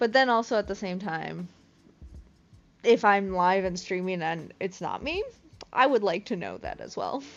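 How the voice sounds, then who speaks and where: The speaking pace is fairly slow. Music can be heard behind it. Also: woman. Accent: Midwestern. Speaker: crochet streamer. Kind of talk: casual live-stream chat. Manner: casual, many fillers.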